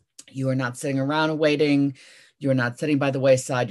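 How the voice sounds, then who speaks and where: Against a quiet background, a woman with an American accent speaks at a very deep, low pitch. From US. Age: 50s. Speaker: author and speaker. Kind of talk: motivational talk. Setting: video call. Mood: warm, earnest storytelling. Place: home room. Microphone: video call.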